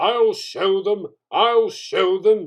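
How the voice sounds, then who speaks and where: The speaker is a man using a put-on character voice. His pitch is high. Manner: angry, hissing.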